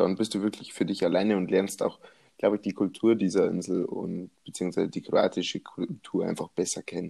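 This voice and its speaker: A man talks at a fairly quick pace in a fairly low, dark, mellow voice. His intonation is flat and monotone, and the sound is dry and close with no echo. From Bavaria. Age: 20s. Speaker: podcast co-host. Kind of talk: casual chat.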